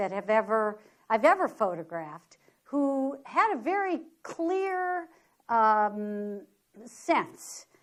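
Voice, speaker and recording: With an American accent, the speaker's pitch makes very wide swings over a quiet background. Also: woman. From US Midwest, inner-city Detroit. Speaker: photographer. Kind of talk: lecture. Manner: animated.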